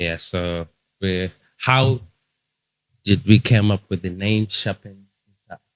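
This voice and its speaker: A man speaks at a very slow pace and fairly low pitch, with ordinary pitch variation and long, frequent pauses. His loudness swings a lot, and the sound is dry and close with no echo. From Zimbabwe. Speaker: podcast co-host. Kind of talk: casual chat.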